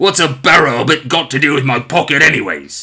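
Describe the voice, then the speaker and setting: A man's put-on character voice, growling and fairly high-pitched, at a fairly quick pace with ordinary pitch variation. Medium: read story.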